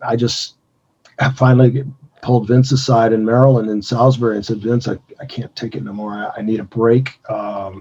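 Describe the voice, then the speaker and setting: A man speaks fairly quickly in an American accent, with a somewhat breathy, dark, mellow tone. His intonation stays fairly even. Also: medium pitch for a man. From US Midwest (Gary, Indiana). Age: 60s. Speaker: retired pro wrestler. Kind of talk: interview.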